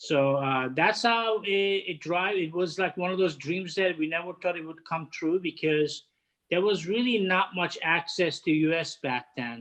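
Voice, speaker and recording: Against a quiet background, a man with a high voice and a Turkish accent talks at a fairly slow pace with ordinary pitch variation. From Turkey, Istanbul. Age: 50s. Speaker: head of hospitality catering. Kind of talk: interview. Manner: halting.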